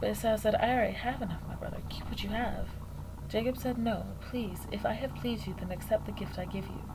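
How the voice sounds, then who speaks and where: Amid noticeable background noise, a woman speaks at a very fast pace. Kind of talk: Bible reading. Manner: soft-spoken.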